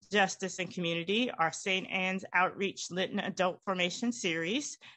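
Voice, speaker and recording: A woman speaks with a Southern US accent. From Winston-Salem, North Carolina. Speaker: church event co-host. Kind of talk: formal introduction. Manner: halting.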